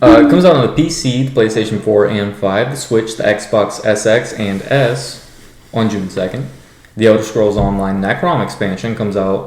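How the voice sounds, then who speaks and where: A man mumbling with ordinary pitch variation, amid audible room echo and noticeable background noise. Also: fairly low pitch for a man, moderate pace. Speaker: gaming podcast host. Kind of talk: casual podcast chat. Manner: halting, many fillers.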